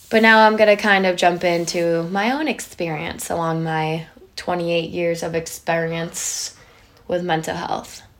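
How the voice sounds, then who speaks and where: A woman speaks at a fairly slow pace in a fairly low voice, her intonation fairly even. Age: 20s. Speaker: podcast host and school social worker. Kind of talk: solo podcast monologue.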